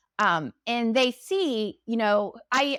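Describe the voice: A woman speaks with a fairly high pitch and a fairly bright tone. Her intonation is lively, and her pace is slow.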